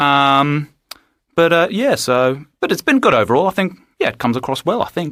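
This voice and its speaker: Recorded very cleanly against a silent background with a dry, close sound and no echo, a man with an Australian accent speaks at a fairly quick pace, his fairly high pitch and bright, sharp tone carrying lively intonation. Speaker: interviewee. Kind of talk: personal account.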